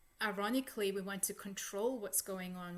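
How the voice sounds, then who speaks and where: A woman's unremarkable speaking voice at medium pitch, fairly quick, with fairly even intonation. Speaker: psychologist working in a holistic, energetic space. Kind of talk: guided meditation and spiritual talk to an online audience. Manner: calm, reflective.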